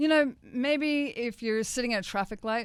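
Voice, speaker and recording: A woman speaks at a high pitch with an Australian accent. The recording is very clean, with a silent background. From Australia, Gold Coast, Queensland. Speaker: author and spiritual teacher. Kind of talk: radio interview. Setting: radio studio. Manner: casual, animated.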